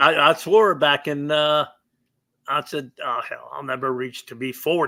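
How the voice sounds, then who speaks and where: Her counterpart aside, this man speaks at a fairly slow pace in a fairly high pitch with a bright, sharp tone. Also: very clean recording, silent background. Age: 70s. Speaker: retired professional bowler. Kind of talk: casual interview.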